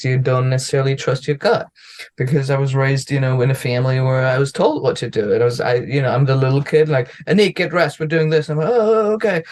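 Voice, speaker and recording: The speaker talks at a very fast pace with a German accent. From Germany. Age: 30s. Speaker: comedian. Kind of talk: casual chat.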